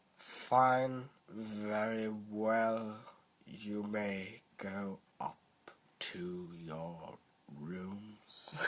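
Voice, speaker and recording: A man puts on a character voice at a fairly low pitch. He speaks at a very slow pace, with long, frequent pauses. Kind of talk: comic impression. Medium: read story. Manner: monotone, very slow.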